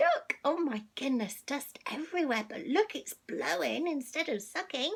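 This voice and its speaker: Over noticeable background noise, the voice has a warm tone, moves at a fairly slow pace and makes very wide pitch swings. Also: woman, high pitch for a woman. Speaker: storyteller reading to children online. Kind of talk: children's storybook reading, casual and chatty. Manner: warm, chatty, friendly, talking to the child.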